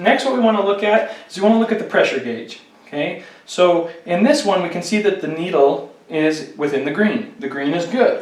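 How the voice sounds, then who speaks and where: A man with a high pitch speaks at a moderate pace, hardly pausing, against noticeable background noise. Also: lively intonation. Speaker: fire safety instructor. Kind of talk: instructional tutorial demonstration. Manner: conversational, explanatory.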